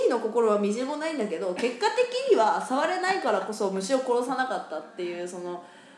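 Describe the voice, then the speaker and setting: With audible room echo and noticeable background noise, a woman with a fairly high pitch talks at a fairly quick pace, her pitch swinging very widely and hardly any pauses in between. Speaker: podcast co-host and stage actor. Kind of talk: casual chat.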